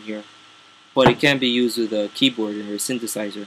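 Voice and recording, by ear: With a fairly bright tone and fairly even intonation, a man talks at a fairly quick pace amid audible room echo.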